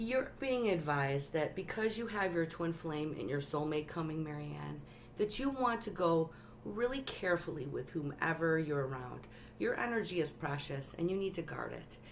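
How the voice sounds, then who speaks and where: Her pitch swings very widely as this woman talks. Audible room echo surrounds her voice. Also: fairly low pitch for a woman, moderate pace. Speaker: tarot reader livestreamer. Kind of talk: live stream tarot reading. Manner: animated.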